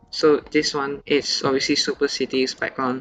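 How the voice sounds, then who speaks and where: A man's medium-pitched voice over music in the background. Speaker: game theory YouTuber. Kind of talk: casual gameplay analysis commentary.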